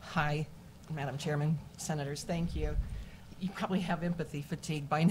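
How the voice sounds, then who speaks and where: Somewhat breathy, a woman speaks at a very deep, low pitch in an American accent. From Kansas City, Missouri. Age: 60s. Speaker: mental health therapist. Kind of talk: public hearing testimony.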